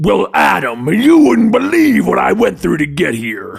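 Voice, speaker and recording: A man's put-on character voice, growling at a moderate pace, with faint music in the background. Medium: read story. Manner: casual, flippant.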